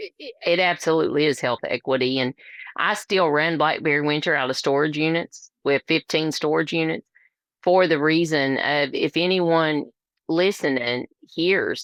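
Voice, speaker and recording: With a strong Appalachian accent, a woman speaks in a very deep, low pitch at a moderate pace, her intonation fairly even. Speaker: labor and delivery nurse, nonprofit founder. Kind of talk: interview conversation. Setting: podcast interview.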